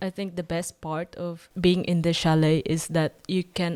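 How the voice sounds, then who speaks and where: A woman with a Filipino accent speaks at a fairly slow pace in a fairly low pitch with fairly even intonation. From Philippines. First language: Tagalog. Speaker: vlogger. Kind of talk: vlog voiceover narration. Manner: hesitant.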